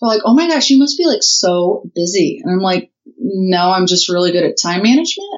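Talking at a fairly quick clip with a Midwestern US accent, a woman at medium pitch swings her pitch very widely. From Indiana. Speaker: writer and digital marketer, libertarian chapter leader. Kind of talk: casual interview.

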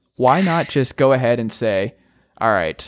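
In a very clean recording with a silent background, a man with a General American accent speaks at a moderate pace, his medium pitch carrying lively intonation. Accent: general American, often taken for Midwestern. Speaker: sports podcast host. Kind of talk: casual sports talk.

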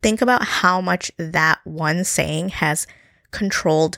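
A woman's normal speaking voice, fairly low in pitch with ordinary pitch variation, in a dry, close sound with no echo. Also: very clean recording, silent background. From US, New Jersey; born in Gujarat, India. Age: 30s. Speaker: podcast host. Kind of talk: solo podcast monologue.

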